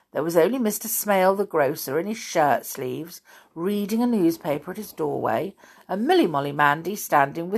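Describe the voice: With lively intonation, the voice offers plain reading aloud.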